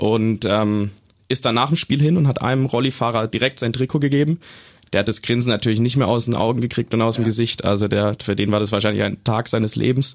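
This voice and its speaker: Speaking very fast at a medium pitch, a man keeps his loudness very even and his intonation fairly even over a very clean recording with a silent background. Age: 20s. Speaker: football fan, student. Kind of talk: casual chat. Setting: studio.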